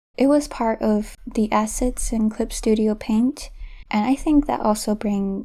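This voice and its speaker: Over a very clean recording with a silent background, a woman speaks somewhat breathily at a fairly high pitch and a moderate pace. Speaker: self-taught artist, art tutorial creator. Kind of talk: voiceover commentary over drawing process. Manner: pauses often.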